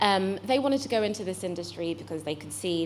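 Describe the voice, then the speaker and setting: A woman with a British accent speaks at a fairly quick pace, medium in pitch with ordinary variation and some vocal fry. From UK. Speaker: venture investor, accelerator managing director. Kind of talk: panel talk.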